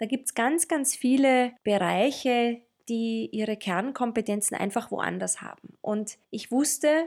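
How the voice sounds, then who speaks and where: The speaker talks at a very slow pace in a Tyrolean accent, with ordinary pitch variation. The recording is very clean, with a silent background. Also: woman. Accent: Tyrolean, rolled R. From Austria, Tyrol. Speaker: podcast co-host, marketing consultant. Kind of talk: casual chat. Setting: studio, sitting next to co-host.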